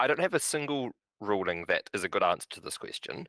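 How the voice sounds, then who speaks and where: On a very clean recording with a silent background, a man with a New Zealand accent talks at a fairly quick pace. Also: dry, close sound with no echo. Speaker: bridge director and player. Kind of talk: casual interview chat.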